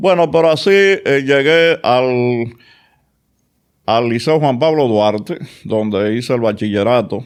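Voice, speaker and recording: A man speaks at a very slow pace with long, frequent pauses and very even loudness, in a very clean recording with a silent background. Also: medium pitch for a man, lively intonation. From Dominican Republic, Santo Domingo (Villa Juana). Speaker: oral and maxillofacial surgeon. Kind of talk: interview.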